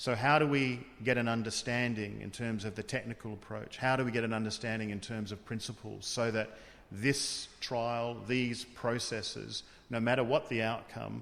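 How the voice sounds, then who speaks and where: In an Australian accent, a man talks at a moderate pace with a medium pitch and monotone, flat intonation, noticeable background noise behind him. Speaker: tribunal official. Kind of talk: interview.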